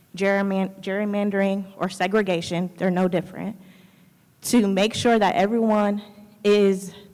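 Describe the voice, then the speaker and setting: In an American accent, a woman talks at a moderate pace with monotone, flat intonation over noticeable background noise. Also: medium pitch for a woman. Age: 20s. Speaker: public hearing speaker, local party officer. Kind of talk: public comment. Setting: public hearing with audience. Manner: halting.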